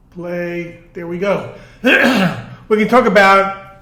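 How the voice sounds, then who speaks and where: Fairly slow speech in a Long Island accent, with audible room echo. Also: man. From Long Island, New York suburbs. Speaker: artist and vlogger. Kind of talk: casual monologue vlog turning into lecture. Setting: in a garage with a car.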